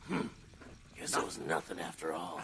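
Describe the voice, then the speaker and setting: A man speaks in a put-on character voice with a very deep, low pitch. His pace is moderate, and background noise is clearly audible. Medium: video game. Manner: gruff, irritable.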